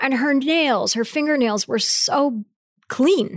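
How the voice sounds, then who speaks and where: The recording is very clean, with a silent background. In it, a woman talks at a moderate pace. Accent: Midwestern US. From rural Ohio. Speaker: company CEO. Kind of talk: interview. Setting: in person.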